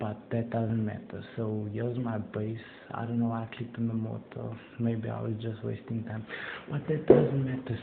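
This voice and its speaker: A man talks at a fairly quick pace. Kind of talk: casual gameplay commentary.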